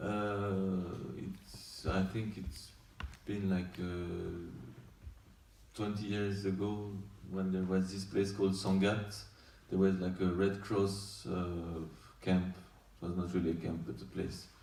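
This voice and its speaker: Very slow and broken by long, frequent pauses, a man with a French accent speaks in a very deep, low, flat monotone, with audible room echo. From France. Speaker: documentary director. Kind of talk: post-screening Q&A. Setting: festival screening with audience. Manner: halting.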